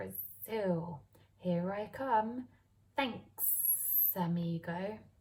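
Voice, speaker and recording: A woman puts on a character voice at medium pitch, delivered at a very slow pace. Hissing can be heard. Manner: casual, friendly.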